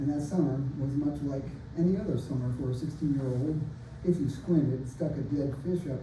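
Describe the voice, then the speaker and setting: A man talks fairly quickly in a fairly high voice with fairly even intonation. Noticeable background noise and audible room echo are present. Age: 60s. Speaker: open mic poet and author. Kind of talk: casual introduction; reading aloud from own novel. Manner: halting with fillers.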